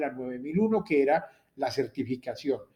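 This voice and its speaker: In a Latin American accent, a man speaks at a moderate pace. His tone is dark and mellow. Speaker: university lecturer. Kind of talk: lecture.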